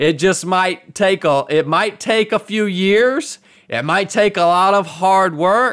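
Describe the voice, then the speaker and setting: Someone with an American accent speaks at a fairly slow pace. The recording is very clean, with a silent background. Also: man. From US South, Georgia. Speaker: retired Navy SEAL and ultra runner. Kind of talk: interview conversation. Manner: halting with frequent repetitions.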